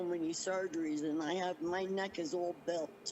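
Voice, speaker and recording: Speaking at a moderate pace, a woman's voice sits at a fairly low pitch. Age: 60s. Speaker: interviewee, scam victim. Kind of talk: interview testimony. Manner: halting.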